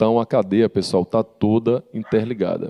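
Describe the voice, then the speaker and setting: A man with a northeastern Brazilian accent speaks in a dark, mellow tone with a dry, close sound and no echo. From Rio Grande do Norte, Brazil. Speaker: panel moderator. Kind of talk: panel moderation.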